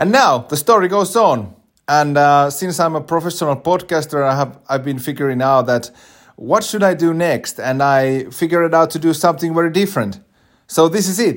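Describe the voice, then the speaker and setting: In a Finnish accent, a man speaks at a fairly high pitch and a moderate pace, with lively intonation. The recording is very clean, with a silent background. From Finland. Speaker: podcast host. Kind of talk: podcast introduction monologue. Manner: halting, many filler words.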